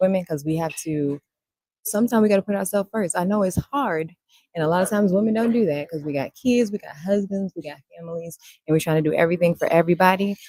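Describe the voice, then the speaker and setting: A soft-spoken woman talks at a very fast pace in a dark, mellow tone, her pitch medium with ordinary variation. The sound is dry and close, with no echo. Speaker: podcast co-host, nursing student. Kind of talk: casual chat. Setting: livestream on Facebook.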